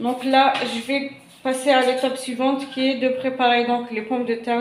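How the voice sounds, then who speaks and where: Amid noticeable background noise and audible room echo, a woman with a high voice speaks at a fairly slow pace. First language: not French (speaking French). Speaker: cooking channel host. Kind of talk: cooking tutorial. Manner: hesitant, many fillers.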